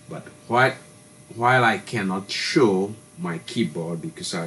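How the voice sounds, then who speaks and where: There is noticeable background noise. A man talks in a very deep, low voice. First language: French. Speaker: tech tutorial youtuber. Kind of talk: tutorial. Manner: halting.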